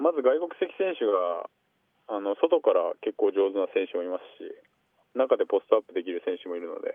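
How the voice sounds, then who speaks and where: A man at a moderate pace with big swings in loudness. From Aichi, Japan. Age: 20s. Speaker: pro basketball player. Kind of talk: radio interview. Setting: phone call. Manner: halting with fillers.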